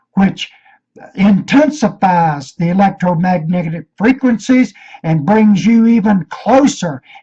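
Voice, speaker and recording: A man with an American accent, high-pitched, with lively intonation, a dark, mellow tone and a fairly slow pace. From Virginia, US. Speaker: conspiracy video maker. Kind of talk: rant. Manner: intense, sounds like hollering.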